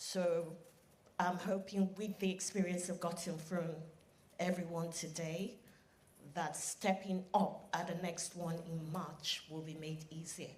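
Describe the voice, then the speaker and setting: In a room with audible echo, a woman with a fairly low pitch speaks at a fairly slow pace, somewhat breathy and monotone in a flat intonation. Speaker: audience member asking a question. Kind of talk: audience question at a live event. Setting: conference hall with live audience. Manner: shaky, nervous.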